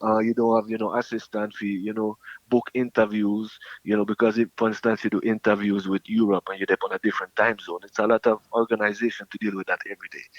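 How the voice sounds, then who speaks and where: A man with a Jamaican accent talks at a very fast pace in a medium pitch. The sound is dry and close, with no echo. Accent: speaks patois like a Jamaican. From Montreal, Quebec. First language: French. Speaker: reggae artist. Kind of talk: interview.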